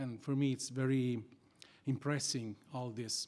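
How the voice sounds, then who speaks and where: A man with an Italian accent talks at a fairly slow pace with fairly even intonation. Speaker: criminal lawyer and society founder. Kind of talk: conference talk. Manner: halting, non-fluent English.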